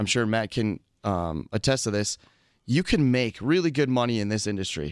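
This is an ordinary speaking voice, a man's at medium pitch and moderate pace. The recording is very clean, with a silent background. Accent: American. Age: 30s. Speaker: home improvement contractor. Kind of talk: casual radio interview. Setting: studio.

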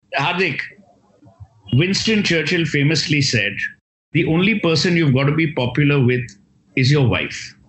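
A man's fairly high voice with long, frequent pauses and audible room echo. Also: lively intonation, moderate pace, very even loudness. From India, Kolkata. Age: 50s. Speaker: author and marketing speaker. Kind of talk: interview conversation.

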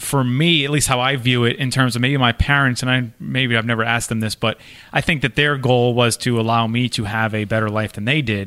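A man with a medium pitch speaks at a fairly quick pace, with hardly any pauses. His tone is bright and sharp, his intonation fairly even. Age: 30s. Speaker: podcast co-host. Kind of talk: casual chat.

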